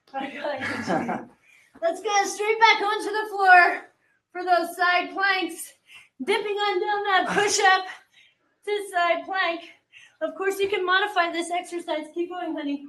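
A woman's raised, projected voice, bright and sharp in tone, with fairly even intonation, a fairly slow pace and long, frequent pauses. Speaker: fitness instructor. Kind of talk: workout coaching. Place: gym. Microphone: studio mic.

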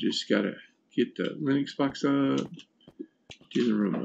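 Light background noise beneath a man talking. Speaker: gaming streamer on chemotherapy; streamer. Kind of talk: casual gameplay livestream commentary. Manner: halting, many fillers. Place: home room.

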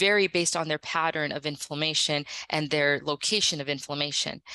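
In an American accent, a woman talks at a fairly quick pace with a bright, sharp tone, the sound dry with no echo. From United States. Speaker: gastroenterologist; presenter. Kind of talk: lecture. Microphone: video call.

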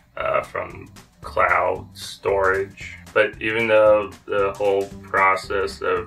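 A man speaking at a very slow pace, faint music in the background. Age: 30s. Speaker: vlogger. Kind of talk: casual talk to camera. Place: home room.

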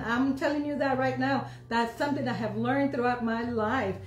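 Light background noise and audible room echo surround a man's voice. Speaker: pastor; church preacher. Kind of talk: sermon / preaching. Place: home room. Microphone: phone near.

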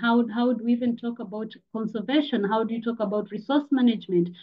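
The speech moves at a fairly quick pace with hardly any pauses. It sounds somewhat breathy. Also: woman. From Tanzania. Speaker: climate educator and activist. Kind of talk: presentation. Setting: video call.

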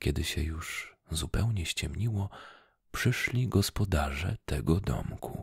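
Whispering very slowly, a soft-spoken man uses a soothing, somewhat breathy tone, with a dry sound free of echo and a quiet background. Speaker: ASMR storyteller. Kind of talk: bedtime story read aloud in a whisper. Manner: soft, slow, soothing whispered narration. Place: home room. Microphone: studio mic.

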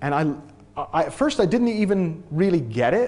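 This is a man talking. He has an American accent. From New England, US (near Boston, Massachusetts). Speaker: transformation coach. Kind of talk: talk to an audience. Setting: stage with audience. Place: hall.

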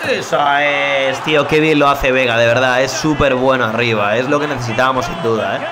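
A man with a medium-pitched voice talks fairly quickly, with hardly any pauses. The recording has audible room echo and noticeable background noise. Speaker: gaming youtuber. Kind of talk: live gameplay commentary. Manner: animated; subdued energy.

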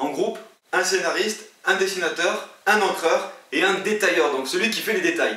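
A man at a moderate pace, with ordinary pitch variation and audible room echo. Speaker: video creator giving comic-making tips. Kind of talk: tutorial. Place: home room.

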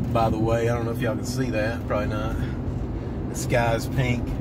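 A man's voice, dry with no echo, under loud background noise. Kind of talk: casual vlog chat. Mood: cheerful, joking. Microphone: phone near.

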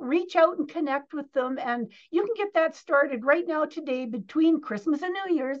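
Her voice pitched high, a woman speaks at a moderate pace with lively intonation. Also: quiet background. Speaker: interview guest. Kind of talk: interview answer.

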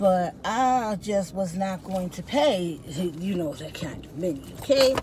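Speaking at a very slow pace, a woman is heard in a dry recording with no echo and noticeable background noise. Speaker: vlogger. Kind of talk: casual vlog chat. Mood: cheerful, chatty. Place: car. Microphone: phone near.

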